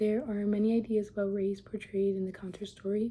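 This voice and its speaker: A woman's somewhat breathy voice at medium pitch and a moderate pace, with monotone, flat intonation. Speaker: student. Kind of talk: reading aloud.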